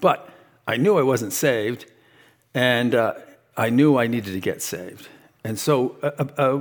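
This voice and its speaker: A man speaks at a moderate pace in a medium-pitched voice with ordinary pitch variation. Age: 60s. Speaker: lay church teacher. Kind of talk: Bible teaching to a congregation. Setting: church meeting with audience. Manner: halting, many fillers.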